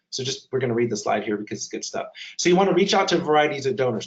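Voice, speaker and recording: Fairly high pitch from a male speaker. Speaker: webinar presenter on digital fundraising. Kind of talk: webinar presentation. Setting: online webinar. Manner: fast.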